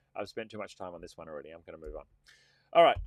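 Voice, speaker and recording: The man speaks with an Australian accent in a dry, close sound with no echo. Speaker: tech consultant and channel host. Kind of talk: live stream tutorial. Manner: casual, many fillers.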